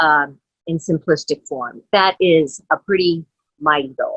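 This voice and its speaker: A woman speaks with a fairly low pitch. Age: 60s. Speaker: company co-founder. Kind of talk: motivational address to business network. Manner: warm, informal with hesitations.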